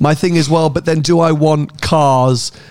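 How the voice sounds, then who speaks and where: Noticeable background noise accompanies a man with a British accent. His pitch is fairly high. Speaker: motoring podcast host and car YouTuber. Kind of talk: casual chat.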